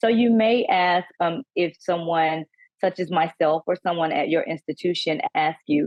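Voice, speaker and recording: Here a woman talks with a Southern US accent. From US South. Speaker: panelist, college staff trainer. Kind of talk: workshop presentation.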